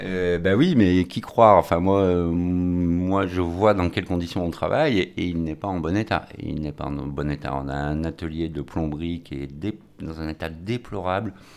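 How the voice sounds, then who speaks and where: Noticeable background noise sits behind a man with a very deep, low pitch. He talks at a fairly slow pace with ordinary pitch variation. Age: 50s. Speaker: vocational cooking teacher. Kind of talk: radio interview. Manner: halting, repeats words.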